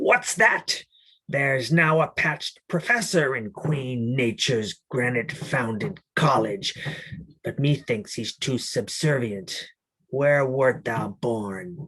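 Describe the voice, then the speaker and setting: Here a man does a put-on character voice. His medium pitch carries lively intonation. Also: fairly slow pace. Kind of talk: archaic theatrical speech. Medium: read story. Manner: brooding, commanding.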